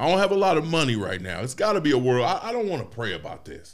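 A man's voice carries vocal fry and very wide pitch swings, with audible room echo around it. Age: 40s. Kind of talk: casual chat.

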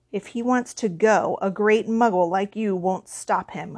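In a put-on character voice, a female-sounding speaker growls gruffly at a medium pitch and a moderate pace over a quiet background. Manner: growling, gruff.

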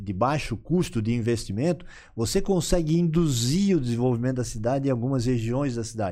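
Here a man speaks at a medium pitch with a dark, mellow tone. His intonation is lively. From Florianópolis, Santa Catarina, southern Brazil. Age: 50s. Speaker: entrepreneur and vice mayor. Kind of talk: casual interview.

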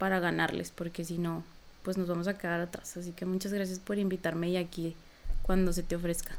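A woman's medium-pitched voice in monotone, flat intonation at a moderate pace, on a very clean recording with a silent background. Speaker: psychologist and activist. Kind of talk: interview.

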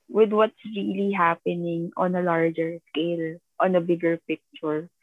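A woman at fairly low pitch and a fairly slow pace, with ordinary pitch variation. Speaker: podcast co-host. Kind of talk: casual chat. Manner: halting, hesitant.

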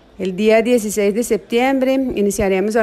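A woman speaks with a Portuguese accent. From Brazil. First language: Portuguese (speaking Spanish). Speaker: psychology professor. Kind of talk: interview. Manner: halting.

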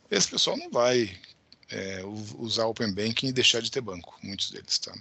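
A man speaks in a normal speaking voice at a medium pitch, talking at a fairly quick pace with ordinary pitch variation. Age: 50s. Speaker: tech company founder and CEO. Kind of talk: interview.

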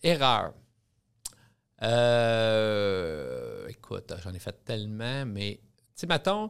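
A man's medium-pitched voice at a very slow pace, with lively intonation, big swings in loudness, and long, frequent pauses. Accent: Quebec. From Quebec (Drummondville). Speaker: restaurant chain executive. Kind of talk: interview. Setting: studio.

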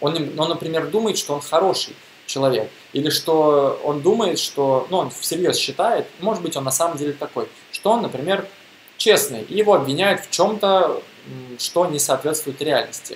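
A man's high voice comes through with noticeable noise in the background. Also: ordinary pitch variation, moderate pace. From Russia, Bashkortostan (Neftekamsk). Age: 20s. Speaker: podcaster on mindfulness. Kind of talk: monologue talk.

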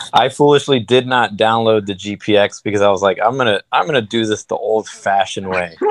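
With a plain, everyday voice and an American accent, a man with a fairly low pitch talks at a fairly quick pace, with ordinary pitch variation and hardly any pauses. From New York, Queens and Miami. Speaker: ultramarathon runner. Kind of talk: casual chat. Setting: video call.

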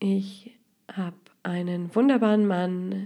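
A woman with a medium pitch and a dark, mellow tone speaks in a monotone, flat intonation. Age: 30s. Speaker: podcast host and life coach. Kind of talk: podcast introduction monologue.

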